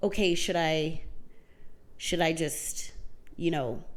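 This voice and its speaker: Lively intonation carries this fairly slow delivery, with audible room echo around it. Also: woman. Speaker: podcast co-host. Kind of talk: casual chat. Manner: quiet.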